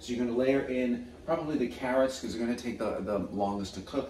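A man talks at a very fast pace with ordinary pitch variation. There is audible room echo and light background noise. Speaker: home cook host. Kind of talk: cooking tutorial. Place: kitchen.

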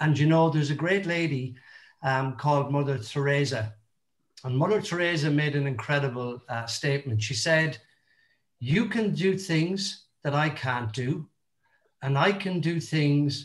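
Against a quiet background, a man speaks at a fairly slow pace with a fairly high pitch. His voice is somewhat breathy, with ordinary pitch variation. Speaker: motivational speaker. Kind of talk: motivational talk. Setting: video call. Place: home room. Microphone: video call.

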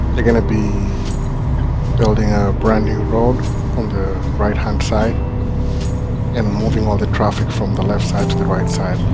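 Music can be heard behind the speaker. The man talks at a moderate pace. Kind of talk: casual vlog narration. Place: car. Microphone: camera far.

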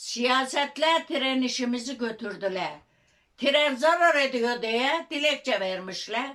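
A woman's high pitch at a very slow pace, with lively intonation. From Çivril, Turkey. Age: 80s+. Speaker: local petition campaigner. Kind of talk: interview answer.

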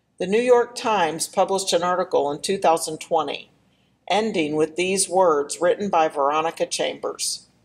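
At a moderate speed, a woman with an ordinary speaking voice talks at a medium pitch, her pitch variation ordinary. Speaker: church announcer introducing the blessing poem. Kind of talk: formal announcement, reading aloud.

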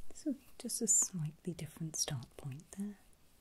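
Soft-spoken and somewhat breathy, the voice has a dark, mellow tone and very wide pitch swings over light background noise. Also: woman, fairly low pitch for a woman, fairly slow pace. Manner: soft, hushed ASMR speech.

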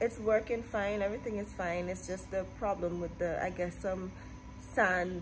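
A woman speaks at a moderate pace with faint music in the background. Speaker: vlogger. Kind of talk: casual vlog chat. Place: office. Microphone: phone near.

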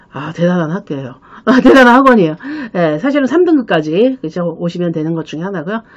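Very fast speech with very wide pitch swings and big swings in loudness, over a quiet background. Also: woman, fairly low pitch for a woman. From South Korea. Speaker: study-abroad consultant and channel host. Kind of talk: solo explainer video, casual talk to camera. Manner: filler-heavy, conversational with frequent 그렇죠. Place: office. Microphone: webcam.

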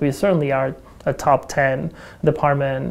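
This woman has a very deep, low pitch and a dark, mellow tone. She talks at a fairly slow pace with fairly even intonation. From Mexico. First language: Spanish. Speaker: astronomy department chair. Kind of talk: documentary interview. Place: classroom.

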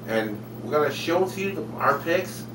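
Noticeable background noise is present. A man speaks with ordinary pitch variation. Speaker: web show host. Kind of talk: show host intro. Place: home room. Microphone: webcam.

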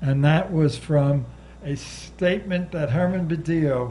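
A somewhat breathy man's voice, dark and mellow in tone, with ordinary pitch variation. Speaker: civil rights lawyer. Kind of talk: panel talk to audience. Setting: bookstore stage with audience. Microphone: handheld.

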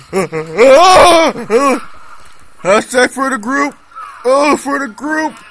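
A man speaks at an extremely high pitch and a very slow pace, with long, frequent pauses. Noticeable background noise runs underneath. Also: lively intonation. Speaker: gaming YouTuber. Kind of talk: angry gamer rant during live gameplay commentary, cursing at lag and enemies. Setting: screen recording gameplay commentary. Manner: loud, exasperated, swearing and exclaiming in bursts; excitable, erratic, shouting short interjections.

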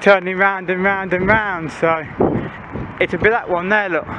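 Over noticeable background noise, a man speaks in a raised, projected voice, the sound dry with no echo. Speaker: urban explorer vlogger. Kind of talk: casual vlog chat. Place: street. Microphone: phone near.

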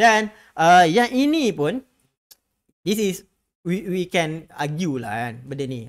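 The background is quiet as a man speaks at a high pitch. His pitch swings very widely. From Malaysia. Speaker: stock market educator. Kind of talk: live stream market update. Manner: casual, code-switching with English; many filler words. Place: studio. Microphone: studio mic.

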